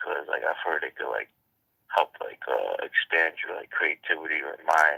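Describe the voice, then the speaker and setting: The speaker is a man. He talks at a moderate pace. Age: 20s. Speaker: caller. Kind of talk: casual call-in chat. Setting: phone call. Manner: hesitant, many fillers.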